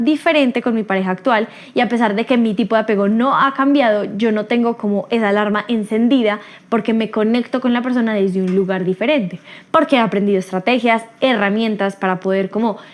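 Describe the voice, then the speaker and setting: A woman's fairly high voice at a fairly quick pace, with ordinary pitch variation and very even loudness. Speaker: podcast host. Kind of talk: solo podcast talk. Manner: fast.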